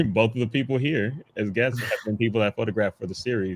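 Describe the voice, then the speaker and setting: Delivered at a very fast pace, the speech comes through as a very clean recording with a silent background and a dry, close sound with no echo. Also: man. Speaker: photographer and festival organizer. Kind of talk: casual panel conversation.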